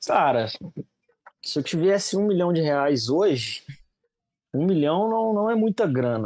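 A man with a high pitch speaks very slowly, his pitch swinging very widely while his loudness stays very even, in a dry, close sound with no echo. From Minas Gerais, Brazil (Juiz de Fora). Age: 20s. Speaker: social media content creator, digital marketing. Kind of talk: casual interview chat.

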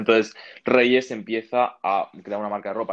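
His intonation stays monotone and flat. The man talks with a fairly low pitch. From Spain, born in Uruguay. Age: 20s. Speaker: online seller and entrepreneur. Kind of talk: casual interview. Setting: video call from a clinic in Uruguay. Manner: fast, with many fillers and repetitions.

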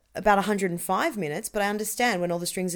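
A woman with an Australian accent talks at a very fast pace and medium pitch on a very clean recording with a silent background. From Australia, Melbourne. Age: 30s. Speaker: comedian. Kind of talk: casual chat.

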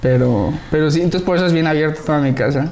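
Noticeable background noise fills the recording. The talking goes at a fairly quick pace. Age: 20s. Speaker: podcast host. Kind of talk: casual chat.

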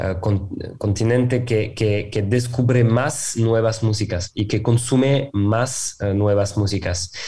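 With a French accent, a man speaks at a fairly low pitch in a dark, mellow, somewhat breathy tone. His intonation stays fairly even. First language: French (speaking Spanish). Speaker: music streaming executive. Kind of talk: interview. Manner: halting.

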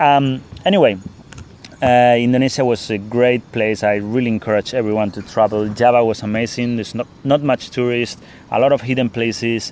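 Against noticeable background noise, a man talks at a fairly quick pace with a medium pitch and fairly even intonation. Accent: Spanish. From Spain. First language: Spanish. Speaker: podcast host and traveler. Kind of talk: casual monologue. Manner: halting, many fillers.

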